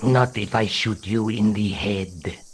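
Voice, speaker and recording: Using a put-on character voice, a man speaks at a fairly slow pace with a fairly low pitch and fairly even intonation. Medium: video game. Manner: formal, calm, courteous.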